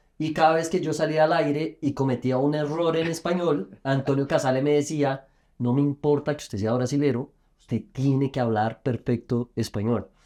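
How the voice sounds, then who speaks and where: This man speaks at a moderate pace in a fairly high pitch with ordinary pitch variation. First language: Portuguese (speaking Spanish). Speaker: podcast host, sports journalist. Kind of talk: interview.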